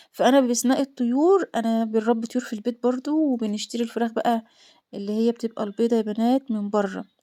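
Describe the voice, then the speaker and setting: A woman with an Egyptian accent speaks in a fairly high pitch at a fairly quick pace. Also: ordinary pitch variation, dry, close sound with no echo. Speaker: homemaker vlogger. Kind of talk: casual vlog chat.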